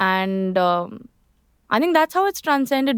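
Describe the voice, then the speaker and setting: With a strong Indian accent, a woman talks at a fairly quick pace in a dry, close recording with no echo. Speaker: lawyer and singer. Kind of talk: podcast interview.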